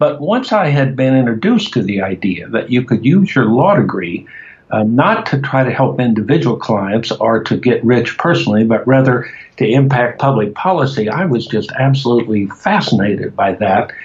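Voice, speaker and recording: Male speaker with an American accent, medium pitch, lively intonation, very even loudness, and a moderate pace, set against noticeable background noise. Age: 70s. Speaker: cannabis activist. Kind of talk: interview. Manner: hesitant with fillers.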